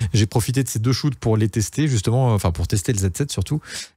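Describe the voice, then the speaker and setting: In a very clean recording with a silent background, a man of medium pitch speaks at a fairly quick pace, somewhat breathy and dark, mellow in tone, with ordinary pitch variation. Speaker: photographer and YouTuber. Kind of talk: casual vlog update. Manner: fast; hesitant, many fillers.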